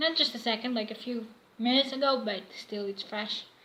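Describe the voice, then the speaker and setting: Noticeable background noise sits behind a woman with a fairly high pitch. She speaks at a moderate pace with ordinary pitch variation. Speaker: fanfiction vlogger. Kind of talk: casual vlog monologue. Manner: halting, many fillers.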